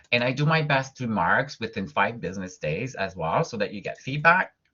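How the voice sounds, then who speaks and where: A man at a fairly quick pace, ordinary pitch variation, with a slight French-Canadian accent. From Quebec, Montreal. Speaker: college professor. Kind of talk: lecture. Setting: online video class.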